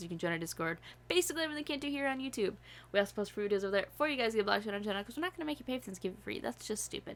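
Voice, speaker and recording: A woman with an American accent speaks at a medium pitch, in a bright, sharp, animated tone, with lively intonation. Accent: occasional Southern accent slips. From upstate New York. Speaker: YouTube reaction channel host. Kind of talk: casual chat; channel promo.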